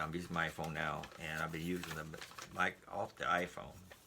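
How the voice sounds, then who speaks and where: There is noticeable background noise behind this man. His pitch is very deep and low. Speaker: YouTuber doing product unboxing. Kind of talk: casual unboxing video. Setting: indoors at home. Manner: fast.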